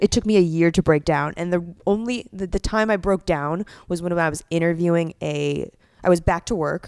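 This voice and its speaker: In a very clean recording with a silent background and a dry, close sound with no echo, a woman speaks in a plain, everyday voice, with fairly low pitch and ordinary pitch variation. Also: moderate pace. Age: 30s. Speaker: stand-up comedian. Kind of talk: casual chat.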